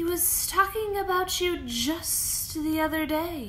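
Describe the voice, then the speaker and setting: Amid clear background noise, a woman puts on a character voice and speaks at a fairly slow pace. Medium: read story. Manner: flattering, ingratiating.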